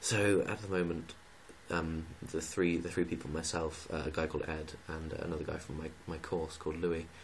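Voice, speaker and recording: The voice is quiet, with monotone, flat intonation. Room echo is audible. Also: man. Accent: English. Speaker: student vlogger. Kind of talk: casual vlog rant. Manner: quiet, kept low.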